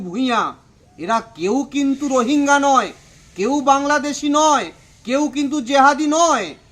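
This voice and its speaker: An extremely high-pitched man's raised, projected voice with ordinary pitch variation. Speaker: local party politician. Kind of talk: political statement to press. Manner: emphatic.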